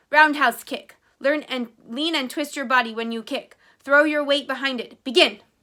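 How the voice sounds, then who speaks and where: In a very clean recording with a silent background, a woman puts on a character voice at a high pitch. Her intonation is fairly even, her pace moderate, and her loudness swings a lot. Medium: read story. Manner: terse, formal.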